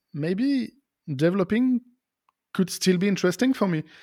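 A man talks in a French accent at a high pitch. The sound is dry and close with no echo, in a very clean recording with a silent background. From France, near Lyon. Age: 40s. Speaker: software developer and podcaster. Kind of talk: interview. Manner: halting.

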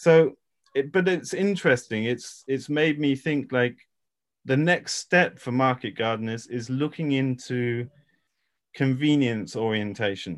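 With an English accent, a man speaks at a medium pitch and a moderate pace, his pitch varying in an ordinary way. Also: quiet background. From England. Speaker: regenerative farmer and educator. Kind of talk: expert interview.

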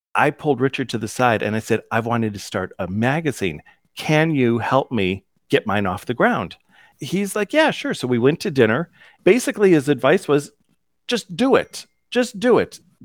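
In a very clean, dry, close recording with no echo and a silent background, a man with a fairly high pitch talks at a moderate pace, his pitch swinging very widely. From US Midwest (Cleveland, Ohio). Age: 50s. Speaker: digital magazine creator. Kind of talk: interview. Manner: animated.

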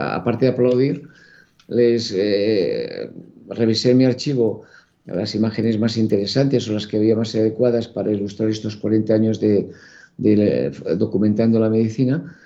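This man's voice has a dark, mellow tone and medium pitch. He speaks at a moderate pace with fairly even intonation. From Catalonia, Spain. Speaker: photographer. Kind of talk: interview.

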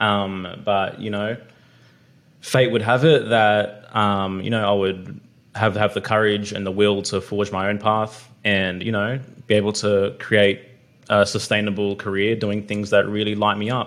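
Here a man talks at a fairly slow pace with an Australian accent. His pitch is fairly low and his intonation is monotone and flat. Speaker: podcast host. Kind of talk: casual chat.

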